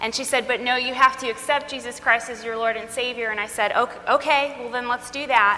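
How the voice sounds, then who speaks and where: A woman speaks with a high pitch at a fairly quick pace, her intonation monotone and flat, with hardly any pauses. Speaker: speaker on trauma. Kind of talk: talk to a live audience. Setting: stage with audience.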